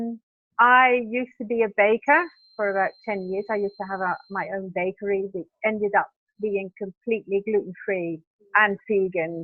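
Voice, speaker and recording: With a British accent, a woman speaks at a moderate pace and medium pitch, her pitch varying in an ordinary way. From Britain. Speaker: vegan B&B owner. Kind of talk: interview.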